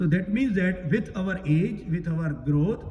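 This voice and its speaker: A man speaks at a moderate pace with lively intonation, and the room echo is audible. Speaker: Gita teacher at a temple. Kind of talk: religious discourse. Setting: temple hall, also streamed online.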